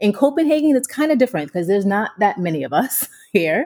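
A woman's medium-pitched voice with an American accent, dark and mellow in tone, with very wide pitch swings. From United States. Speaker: business coach, founder of a training company. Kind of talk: interview. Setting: remote call.

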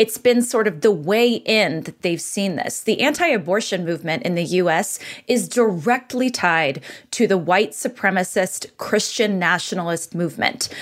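At a moderate pace, a woman speaks at medium pitch with lively intonation. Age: 30s. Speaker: writer and abortion rights activist. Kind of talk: political interview.

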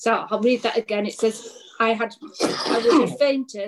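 A woman is speaking. She has an English accent. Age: 50s. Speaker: pastor. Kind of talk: preaching.

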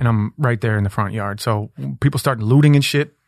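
A man with an American accent and a normal speaking voice talks at a fairly quick pace, with ordinary pitch variation. The sound is dry and close with no echo, and the background is quiet. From Minneapolis, US Midwest. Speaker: rapper. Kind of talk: casual chat. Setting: studio.

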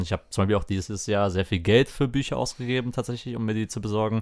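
A man's plain, everyday voice, fairly low in pitch with fairly even intonation, in a very clean recording with a silent background. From Lower Rhine, western Germany. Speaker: podcast co-host. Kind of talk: casual chat.

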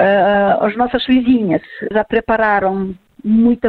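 A woman's fairly high voice with a Ukrainian accent. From Ukraine. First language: Ukrainian or Russian (speaking Portuguese). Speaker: immigrant association leader. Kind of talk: recorded interview.

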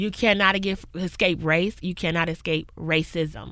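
A woman speaks loudly. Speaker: community worker and professor. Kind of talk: casual interview conversation. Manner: loud, outgoing.

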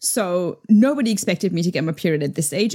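Lively intonation rides on a dark, mellow tone at a moderate pace. The recording is very clean, with a silent background. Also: woman. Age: 30s. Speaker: podcast host. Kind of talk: casual chat.

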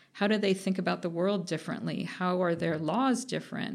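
With an American accent, a woman speaks at medium pitch with vocal fry and ordinary pitch variation. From US West Coast (Orange County, California). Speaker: economics professor. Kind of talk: casual interview.

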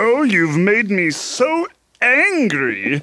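A man's put-on character voice, high in pitch, with very wide pitch swings. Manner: angry, indignant.

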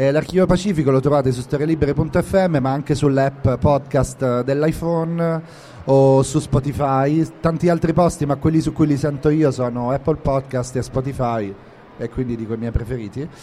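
A man speaks in a plain, everyday voice, fairly high in pitch, at a moderate pace with ordinary pitch variation. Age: 40s. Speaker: podcast host and novelist. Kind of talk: live interview. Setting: live event room at a book fair.

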